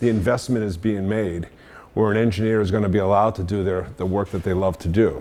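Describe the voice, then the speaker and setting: With a Boston accent, a man speaks at a fairly quick pace in a fairly low pitch, his tone dark and mellow and his pitch variation ordinary. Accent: Boston accent, mostly retained. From Boston area, US Northeast. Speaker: engineer and industry veteran speaker. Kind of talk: career talk to students. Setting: meetup audience at a university. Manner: casual, with frequent fillers and restarts.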